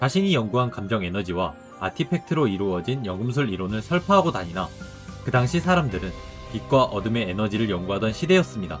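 With music in the background, a man rattles along at a very fast pace, his pitch swinging very widely. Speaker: game lore video creator. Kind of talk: game story narration. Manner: casual, with offhand remarks.

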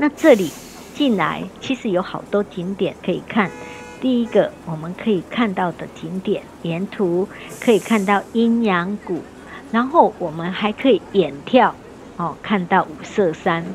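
Music plays in the background as a woman speaks at a fairly slow pace, her lively intonation paired with big swings in loudness. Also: medium pitch for a woman. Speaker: travel tour guide and video host. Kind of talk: on-location travel commentary. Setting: outdoors on a tour. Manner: animated, chatty with frequent particles.

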